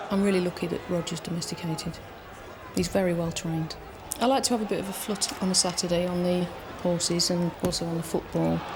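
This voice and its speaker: A woman talks at a very fast pace with a fairly low pitch and fairly even intonation. Noticeable background noise and audible room echo are present. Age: 30s. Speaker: game show contestant. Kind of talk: self-introduction. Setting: TV studio with audience.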